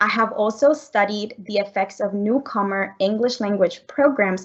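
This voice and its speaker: The speaker is a woman with a Spanish accent. She talks at a moderate pace with ordinary pitch variation. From Colombia. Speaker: economics professor. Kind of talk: research presentation.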